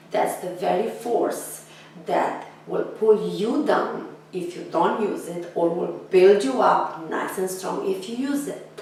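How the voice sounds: A woman with a fairly low pitch sounds raspy, with vocal fry and a slightly mellow tone, speaking slowly with few pauses and ordinary pitch variation amid strong room echo.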